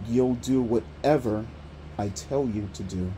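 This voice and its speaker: Put-on, growling character voice from a man, fairly low in pitch and fairly slow. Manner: cold, menacing.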